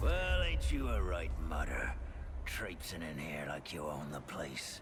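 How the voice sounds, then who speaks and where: A man's put-on character voice, drawling at a fairly slow pace over loud background noise. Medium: video game. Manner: folksy, drawling.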